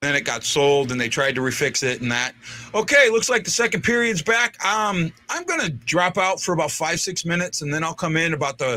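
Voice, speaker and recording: High-pitched man in a St. Louis accent, fairly quick, with very wide pitch swings and noticeable background noise. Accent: St. Louis accent, says 'warsh' for wash. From St. Louis, Missouri (North St. Louis). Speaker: sports fan show host. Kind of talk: casual chat. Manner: halting, repeats words.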